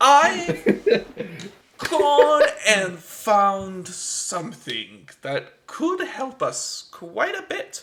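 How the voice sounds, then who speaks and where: A put-on character voice from a man, extremely high-pitched and very slow. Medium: actual play. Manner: distracted, brisk.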